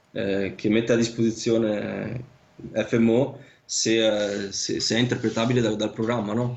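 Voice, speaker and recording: A man speaks at a medium pitch with monotone, flat intonation. His pace is fairly slow. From northern Italy, Vicenza (Veneto). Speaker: land surveyor. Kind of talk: casual interview. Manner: halting, many fillers and repetitions.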